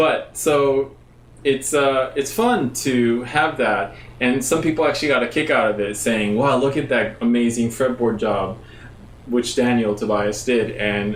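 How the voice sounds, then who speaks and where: With an American accent, a man of medium pitch speaks at a fairly slow pace with ordinary pitch variation, very even loudness and audible room echo. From Japan. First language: Japanese. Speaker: bass player giving a music lesson. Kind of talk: live-stream tutorial. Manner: casual, halting with fillers.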